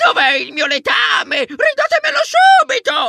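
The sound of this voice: At a fairly slow pace, a man shouts in a put-on character voice pitched extremely high, with a bright, sharp tone, vocal fry, very wide pitch swings and a dry, close sound with no echo.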